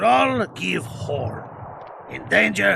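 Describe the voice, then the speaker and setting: A man performs a put-on character voice over clear background noise. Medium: video game. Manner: broken, simple grammar.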